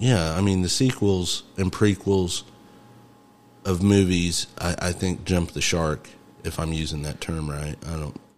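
A man with an American accent speaks in a very deep, low pitch at a fairly slow pace. His pitch variation is ordinary, and there is noticeable background noise. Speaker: podcast host. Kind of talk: casual chat.

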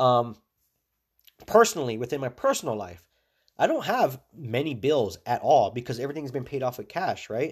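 On a very clean recording with a silent background, a man speaks at a medium pitch and moderate pace with ordinary pitch variation. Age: 30s. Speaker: podcast host, small business owner. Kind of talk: casual monologue. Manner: relaxed.

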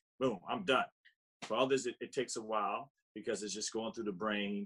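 A man talks at a moderate pace, and the sound is dry and close with no echo. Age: 60s. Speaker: vegan lifestyle coach and author. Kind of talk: casual interview chat.

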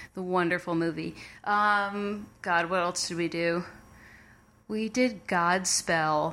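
A woman with an American accent speaks very slowly at a fairly low pitch. The recording is very clean, with a silent background. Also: fairly even intonation. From New Jersey, Montclair (New York City suburb). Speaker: comedy writer and performer. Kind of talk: casual interview.

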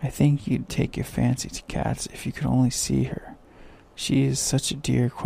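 Simply an unforced reading voice

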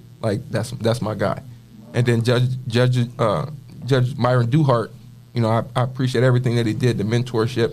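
With music in the background, a man with an American accent speaks at a medium pitch in a monotone, flat intonation. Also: moderate pace. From Toledo, Ohio, US Midwest. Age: 30s. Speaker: community youth mentor. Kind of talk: personal testimony.

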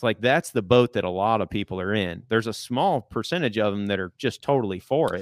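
In a normal speaking voice, the speaker goes at a fairly quick pace with hardly any pauses and ordinary pitch variation. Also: man, fairly low pitch for a man. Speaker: public land hunter and hunting content creator. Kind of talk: casual chat. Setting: studio.

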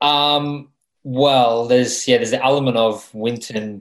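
A man with an Australian accent speaks at a moderate pace in a very clean recording with a silent background. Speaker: racing driver. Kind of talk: interview.

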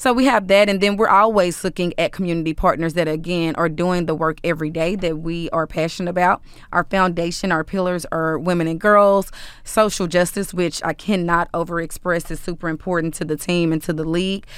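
Speaking fairly quickly with fairly even intonation, a woman with an American accent has a fairly low pitch and an unremarkable speaking voice. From Dallas, Texas (South Oak Cliff). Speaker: community relations executive for a pro sports team. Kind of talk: interview conversation.

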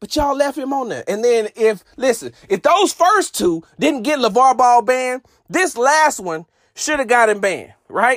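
An extremely high-pitched man speaks at a moderate pace with lively intonation and an animated tone. The sound is dry and close, with no echo. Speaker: sports podcast host. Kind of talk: sports radio rant. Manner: animated, indignant.

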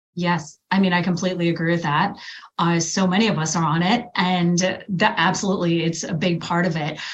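With audible room echo, a woman speaks at a fairly quick pace in a fairly low pitch and fairly even intonation. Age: 40s. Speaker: women's health coach. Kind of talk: interview.

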